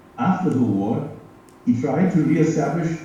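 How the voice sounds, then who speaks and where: There is noticeable background noise and audible room echo as a man speaks at a fairly slow pace. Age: 80s+. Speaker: retired geography professor. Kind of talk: prepared speech.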